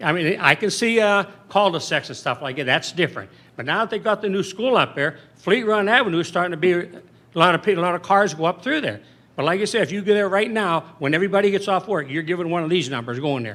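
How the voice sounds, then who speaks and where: A high-pitched man at a very fast pace. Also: lively intonation. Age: 70s. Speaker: resident speaking at public comment. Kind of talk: public comment at a council meeting. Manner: halting, with repetitions.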